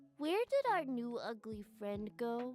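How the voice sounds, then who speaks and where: In a cartoonish character voice, a female-sounding speaker uses a high pitch and a fairly slow pace. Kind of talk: comic cartoon voice. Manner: blunt, naive, crude.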